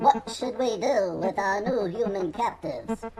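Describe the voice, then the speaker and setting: A female-sounding put-on character voice, fairly high in pitch, goes at a moderate pace against clear background noise. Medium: audio drama. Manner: detached, clinical.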